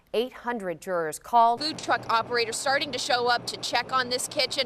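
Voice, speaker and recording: A woman speaks in a high pitch with ordinary pitch variation. Noticeable background noise is present. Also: fairly quick pace. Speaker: TV news anchor and reporter. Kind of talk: TV news report.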